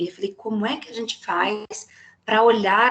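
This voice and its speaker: A woman speaks at a medium pitch. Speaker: psychologist giving a talk. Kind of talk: lecture. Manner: animated.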